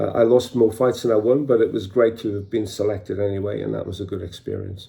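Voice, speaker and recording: A man's fairly low voice with vocal fry, very fast in pace, with fairly even intonation. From northeast England, County Durham. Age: 60s. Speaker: martial arts teacher. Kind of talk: personal storytelling. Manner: hesitant fillers.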